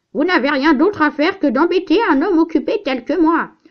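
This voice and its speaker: In a put-on character voice, a woman speaks at an extremely high pitch and a fairly quick pace. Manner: irritated, curt.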